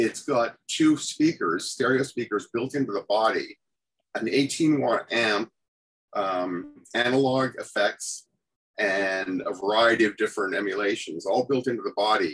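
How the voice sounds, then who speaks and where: The speaker talks at a fairly slow pace with a Canadian accent. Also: man. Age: 60s. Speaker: music journalist and guitarist. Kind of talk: casual chat.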